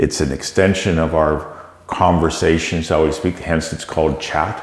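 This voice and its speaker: A man with a very deep, low pitch and fairly even intonation speaks at a moderate pace amid audible room echo and noticeable background noise. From Canada. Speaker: tech company CEO. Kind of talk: interview.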